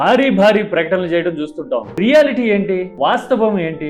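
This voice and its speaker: Music plays in the background as a man speaks. His pitch is high and his intonation lively. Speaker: political commentator. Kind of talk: political analysis talk to camera.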